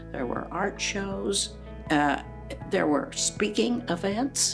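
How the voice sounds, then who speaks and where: Background music plays throughout. Over it, a woman's speech is very slow. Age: 80s+. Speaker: retired speech-language pathology teacher. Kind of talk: interview answer.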